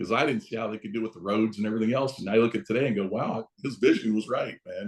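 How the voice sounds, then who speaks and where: A man with an American accent talks at a very fast pace and a medium pitch. His loudness swings widely. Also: hardly any pauses. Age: 60s. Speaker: real estate broker. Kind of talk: interview. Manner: casual, conversational.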